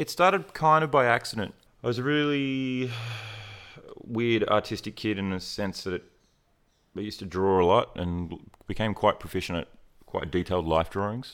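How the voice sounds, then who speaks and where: A man with an Australian accent and medium pitch speaks with lively intonation, leaving long, frequent pauses. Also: moderate pace, very clean recording, silent background. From rural Queensland, Australia. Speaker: portrait photographer. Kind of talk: interview, casual chat. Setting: studio.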